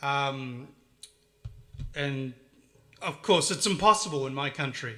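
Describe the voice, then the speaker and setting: Speaking in a New Zealand accent, a man has a bright, sharp tone and ordinary pitch variation. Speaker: retro game collector vlogger. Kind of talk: casual monologue showing collection. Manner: halting, many fillers and restarts.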